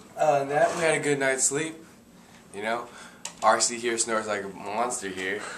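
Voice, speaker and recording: With light background noise, a man speaks at a moderate pace and with ordinary pitch variation. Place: home room. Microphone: phone near.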